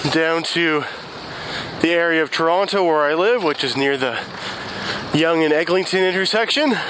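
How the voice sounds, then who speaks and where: Fairly slow speech over noticeable background noise, with a dry sound and no echo. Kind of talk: casual vlog chat. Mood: relaxed, calm. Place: street. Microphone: headset.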